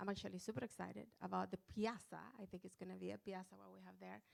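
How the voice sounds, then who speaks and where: The speaker is a woman with a Chilean accent. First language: Spanish. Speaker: panelist. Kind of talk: panel discussion.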